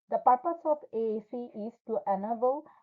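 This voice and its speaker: This is a woman talking. She has a non-native accent. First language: not English. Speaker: graduate student. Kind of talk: class presentation. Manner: formal.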